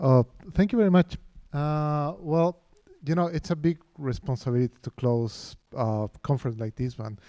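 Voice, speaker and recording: On a very clean recording, with a silent background and a dry, close sound with no echo, a man with a Spanish accent speaks at a moderate pace in a fairly high pitch, with a dark, mellow tone and lively intonation. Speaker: professor of architecture. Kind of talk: lecture. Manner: halting, many fillers and restarts.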